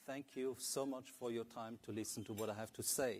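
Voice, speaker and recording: A man with a medium-pitched voice and an Italian-Swiss accent, speaking at a moderate pace. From Italy and Switzerland. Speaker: fund manager. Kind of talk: investment presentation. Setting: stage with audience.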